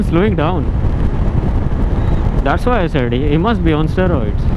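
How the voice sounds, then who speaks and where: The sound is dry with no echo. Loud background noise runs throughout. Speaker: motorcycle vlogger. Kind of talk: casual vlog commentary. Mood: annoyed at other drivers. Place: motorbike.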